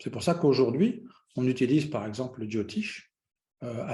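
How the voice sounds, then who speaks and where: In a room with audible echo, a man speaks at a moderate pace and medium pitch, his tone dark and mellow, somewhat breathy, with ordinary pitch variation. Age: 60s. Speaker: Vedic astrologer. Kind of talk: lecture. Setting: online conference. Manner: hesitant, many fillers.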